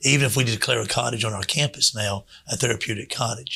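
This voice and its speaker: There is vocal fry in this man's voice, and his pitch varies in an ordinary way. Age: 60s. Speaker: children's home director. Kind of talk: radio interview. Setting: radio studio.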